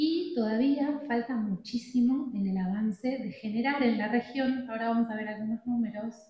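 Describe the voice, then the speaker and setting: In an Argentine accent, a woman speaks at a moderate pace and a fairly high pitch, with ordinary pitch variation and hardly any pauses. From Argentina. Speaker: addiction treatment specialist speaker. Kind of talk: conference talk.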